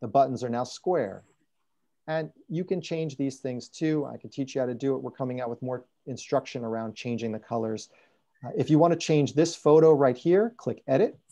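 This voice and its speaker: Against a quiet background, a man speaks at medium pitch in a dark, mellow tone. His pitch varies in an ordinary way while his loudness swings widely. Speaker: software trainer. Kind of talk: tutorial. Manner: fast.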